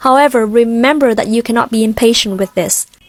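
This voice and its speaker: A woman with an American accent speaks at a high pitch and fairly quick pace with fairly even intonation, in a dry, close recording with no echo but noticeable background noise. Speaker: English pronunciation tutor. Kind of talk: tutorial. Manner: clear.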